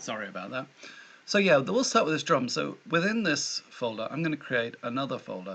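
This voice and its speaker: With a British accent, a man talks at a fairly quick pace, his medium pitch moving in very wide swings. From Britain. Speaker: tutorial maker. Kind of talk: tutorial. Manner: casual, self-deprecating with hesitations.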